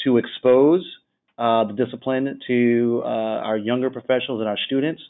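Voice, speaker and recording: A man talks at a moderate pace in a plain, everyday voice, his medium pitch held to fairly even intonation. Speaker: architect panelist. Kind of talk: panel discussion.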